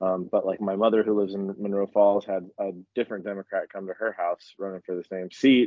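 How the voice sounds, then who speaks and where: Fairly low in pitch, a man talks in a normal speaking voice. His pace is fairly quick. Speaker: podcast co-host. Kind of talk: casual group chat podcast.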